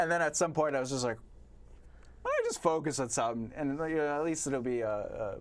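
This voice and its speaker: Talking at a very fast pace, a man speaks with a Long Island accent. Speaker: poet and author. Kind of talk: casual chat. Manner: halting.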